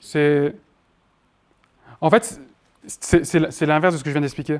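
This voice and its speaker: The speaker is a man. His pitch is fairly high. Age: 20s. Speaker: marketing trainer. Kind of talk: workshop lecture with Q&A. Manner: fast; loud.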